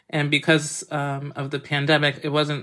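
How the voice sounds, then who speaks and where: On a very clean recording with a silent background, a woman with an American accent speaks at a very deep, low pitch. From Massachusetts, US. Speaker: chef and cookbook author. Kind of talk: interview.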